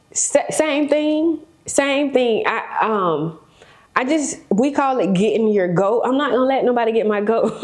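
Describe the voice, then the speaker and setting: Speaking at a fairly slow pace, a woman uses a high pitch, an animated tone and very wide pitch swings. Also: very even loudness. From South Florida, West Palm Beach. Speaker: real estate broker and developer. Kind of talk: podcast interview.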